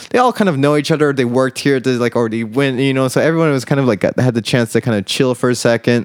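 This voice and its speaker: Someone with an American accent talks at a very fast pace in a dry, close sound with no echo and a very clean recording with a silent background. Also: man, medium pitch for a man, ordinary pitch variation, hardly any pauses. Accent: American, international school. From USA, raised partly in Indonesia. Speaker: DJ and event coordinator. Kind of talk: casual chat. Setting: outdoors on a rooftop.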